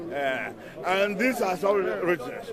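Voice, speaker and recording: A man's high voice with lively intonation at a fairly slow pace, crowd noise in the background. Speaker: street preacher. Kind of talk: street interview. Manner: loud.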